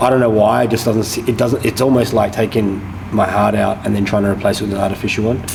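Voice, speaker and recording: Through noticeable background noise and audible room echo, a man talks at a very fast pace with fairly even intonation. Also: fairly low pitch for a man. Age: 30s. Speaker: boxing gym owner and former boxer. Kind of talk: casual chat.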